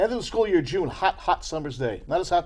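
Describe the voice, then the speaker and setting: Talking very fast, a man speaks in an American accent. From New Jersey (Ridgefield). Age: 50s. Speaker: poet. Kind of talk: casual chat.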